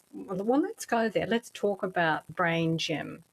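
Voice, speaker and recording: A woman talks at a fairly slow pace. She has an Australian accent. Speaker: podcast host. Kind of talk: interview.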